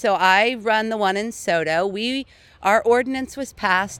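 A woman speaks in a plain, everyday voice at medium pitch with lively intonation. The recording is very clean, with a silent background. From US Pacific Northwest, South Seattle. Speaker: neighborhood business association director. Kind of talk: interview.

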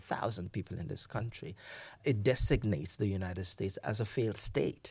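A man talks at a fairly quick pace in a fairly low, somewhat breathy voice with ordinary pitch variation. The recording is very clean, with a silent background. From Nigeria. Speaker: professor. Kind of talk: academic interview.

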